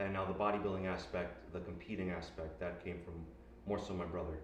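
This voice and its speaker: A man's very deep, low voice at a fairly quick pace, with ordinary pitch variation, long, frequent pauses, audible room echo and noticeable background noise. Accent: American. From US Northeast, Elizabeth, New Jersey. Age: 20s. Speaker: bodybuilder. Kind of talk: interview.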